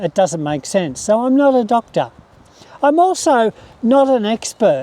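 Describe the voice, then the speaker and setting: With an Australian accent, a man speaks at an extremely high pitch, swinging his pitch very widely at a moderate pace. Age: 60s. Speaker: retired pensioner, carnivore diet YouTuber. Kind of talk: casual talk to camera.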